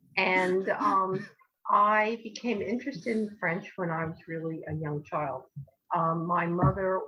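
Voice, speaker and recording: A woman's very slow speech in a New Jersey accent, medium in pitch with ordinary pitch variation, over music in the background. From US Northeast, New Jersey. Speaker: language educator. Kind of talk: interview. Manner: hesitant, many fillers.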